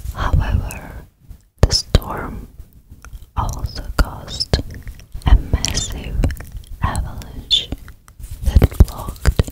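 Over loud background noise, a woman speaks at a very slow pace with long, frequent pauses. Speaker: ASMR creator. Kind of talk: soft ASMR storytelling. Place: home room. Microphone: studio mic.

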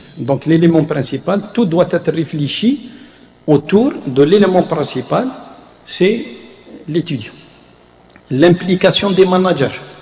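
A high-pitched male voice with lively intonation, a very slow pace and long, frequent pauses, plus audible room echo. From Algeria. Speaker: university professor and vice-rector; university professor. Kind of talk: lecture. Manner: halting, many hesitations. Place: hall. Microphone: podium.

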